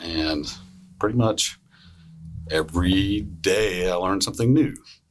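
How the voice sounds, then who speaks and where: Music plays in the background as a man with a Southern US accent speaks fairly slowly in a very deep, low voice with ordinary pitch variation. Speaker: emergency physician. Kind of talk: casual storytelling on a panel podcast.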